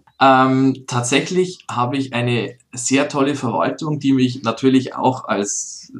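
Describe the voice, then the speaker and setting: With fairly even intonation, this is a plain, everyday voice. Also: man. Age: 30s. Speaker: mayor. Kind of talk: interview.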